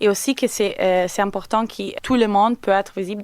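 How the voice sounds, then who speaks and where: The sound is dry and close, with no echo. A woman at medium pitch speaks at a moderate pace with fairly even intonation. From Italy. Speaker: company representative. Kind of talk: radio interview. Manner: halting.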